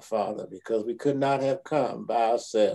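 A man speaks at a medium speed. Nothing much sounds behind him. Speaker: pastor. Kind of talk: prayer. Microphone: video call.

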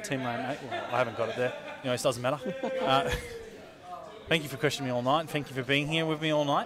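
A man at a very fast pace, with ordinary pitch variation and crowd noise in the background. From Australia. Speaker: esports commentator. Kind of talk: live esports broadcast hosting. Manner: casual, upbeat. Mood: jovial, laughing. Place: studio. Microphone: headset.

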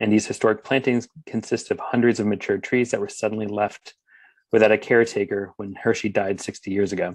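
In an American accent, a man speaks at a fairly quick pace with a fairly low pitch and monotone, flat intonation, the sound dry with no echo and the background quiet. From Philadelphia, Pennsylvania; Pennsylvania. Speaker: urban forester; conference presenter. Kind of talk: conference presentation. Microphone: webcam.

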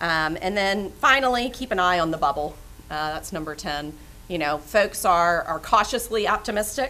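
Here a woman speaks at a moderate pace. Her tone is bright and sharp. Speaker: panel moderator. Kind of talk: panel discussion. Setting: stage with audience. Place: meeting room. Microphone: podium.

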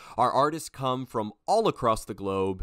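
In a very clean recording with a silent background, a man speaks at a medium pitch and a moderate pace in a normal speaking voice with lively intonation. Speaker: interviewer. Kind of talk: podcast intro.

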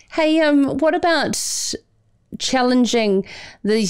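Speaking at a fairly slow pace with lively intonation, a woman with a New Zealand accent is heard against a quiet background. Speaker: radio/podcast host interviewer. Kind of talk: interview questions. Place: studio. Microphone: studio mic.

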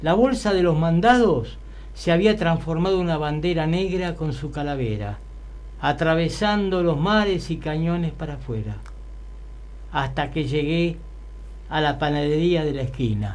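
A man speaks at a fairly slow pace, leaving long, frequent pauses. His pitch varies in an ordinary way. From Buenos Aires, Argentina; Argentina. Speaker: poet. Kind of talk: poetry reading. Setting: studio. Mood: nostalgic, storytelling. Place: studio. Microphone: studio mic.

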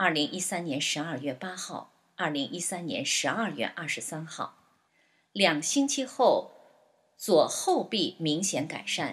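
Very wide pitch swings at a very slow pace. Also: woman, fairly low pitch for a woman. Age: 60s. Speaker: patient giving testimony. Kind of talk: scripted narration of a patient testimony. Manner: list-like reading of dates and steps.

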